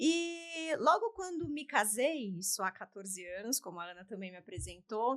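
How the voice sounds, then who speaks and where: A woman speaks with a São Paulo accent. Her fairly high pitch moves in very wide swings. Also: moderate pace, hardly any pauses, big swings in loudness. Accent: Paulistano Brazilian Portuguese. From São Paulo city, Brazil. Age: 40s. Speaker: beauty sales director. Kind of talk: interview. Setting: studio.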